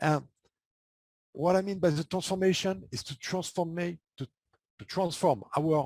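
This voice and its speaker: A man's very slow, somewhat breathy speech in a French accent, with a dry, close sound and no echo. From France. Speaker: transformation coach. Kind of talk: podcast interview.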